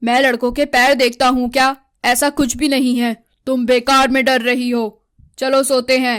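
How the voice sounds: A woman puts on a cartoonish character voice, high in pitch, at a moderate pace. Her intonation is monotone and flat, and her loudness stays very even.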